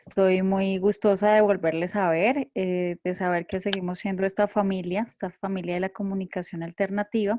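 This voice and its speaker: A woman with a Bogotá accent, dark and mellow in tone, monotone and flat in intonation, at a moderate pace with hardly any pauses. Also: medium pitch for a woman. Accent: Bogotá Colombian Spanish. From Colombia, Bogotá. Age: 30s. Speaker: communicator and theologian. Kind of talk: online panel discussion. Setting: video call.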